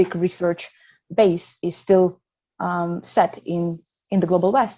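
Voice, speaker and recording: In a Russian accent, a woman with a fairly low pitch and a dark, mellow tone speaks at a fairly slow pace with monotone, flat intonation. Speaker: psychotherapist. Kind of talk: panel discussion. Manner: halting.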